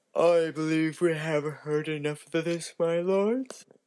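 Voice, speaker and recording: A man's put-on character voice, fairly high-pitched, with fairly even intonation and a fairly slow pace. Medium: read story. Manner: harsh, scolding.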